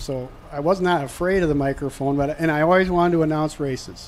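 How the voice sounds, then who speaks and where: Against noticeable background noise, a man with a slight Minnesota accent speaks at a fairly quick pace with ordinary pitch variation. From southern Minnesota. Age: 60s. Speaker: race announcer. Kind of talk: radio interview.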